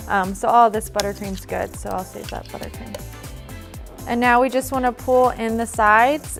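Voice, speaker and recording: A woman with an American accent, her loudness swinging widely, over music in the background. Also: moderate pace. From US Midwest. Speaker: cake decorator. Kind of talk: cake decorating tutorial narration.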